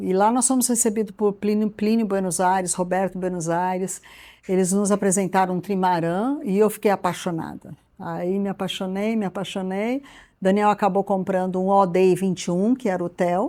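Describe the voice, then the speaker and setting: A woman's dark, mellow tone with fairly even intonation, on a very clean recording with a silent background. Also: medium pitch for a woman, moderate pace. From Brazil, São Paulo city. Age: 60s. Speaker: traveler and restaurant owner. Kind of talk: casual personal storytelling.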